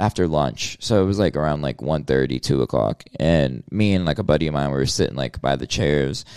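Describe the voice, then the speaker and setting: In a dry, close sound with no echo, a man speaks with lively intonation, a very deep, low pitch and vocal fry. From US South. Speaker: rapper. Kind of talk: casual interview.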